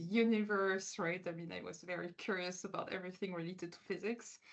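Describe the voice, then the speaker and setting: At a very fast pace, a woman with a French accent talks with fairly even intonation. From France. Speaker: quantum physicist. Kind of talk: interview. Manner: hesitant, many fillers.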